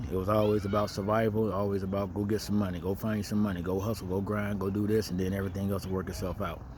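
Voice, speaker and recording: A man at a very fast pace, fairly low-pitched, with fairly even intonation. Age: 40s. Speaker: vlogger sharing life advice. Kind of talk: casual monologue. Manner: conversational, many filler words.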